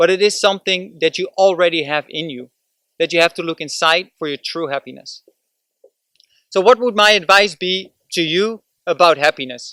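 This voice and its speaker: A man's high-pitched voice with a Dutch accent, a bright, sharp tone and ordinary pitch variation, in a dry, close sound with no echo. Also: moderate pace. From Netherlands. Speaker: vlogger. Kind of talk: motivational vlog talk. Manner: casual, with hesitations.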